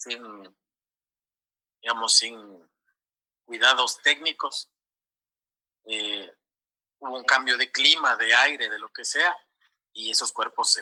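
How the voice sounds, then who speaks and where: Speaking at a fairly slow pace with long, frequent pauses, a man shows big swings in loudness in a dry, close recording with no echo. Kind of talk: interview answer.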